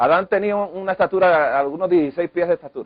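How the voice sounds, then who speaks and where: The words come out at a very fast pace. This man's intonation remains fairly even. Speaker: health lecturer. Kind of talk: lecture.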